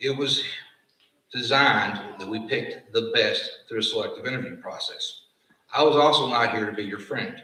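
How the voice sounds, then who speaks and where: Audible room echo around a man speaking at a moderate pace. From Appalachia. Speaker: fire science program director. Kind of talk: graduation ceremony speech. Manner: formal.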